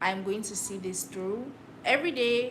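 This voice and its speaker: A woman at medium pitch with lively intonation and audible room echo. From Cameroon, Douala. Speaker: livestreamer. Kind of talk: casual solo livestream talk. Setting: livestream to camera.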